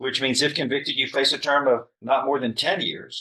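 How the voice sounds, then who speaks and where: A loud man speaks at a medium pitch with a bright, sharp tone. His pace is moderate, and vocal fry comes through. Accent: American. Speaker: judge. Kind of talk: courtroom sentencing hearing. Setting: courtroom. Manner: stern.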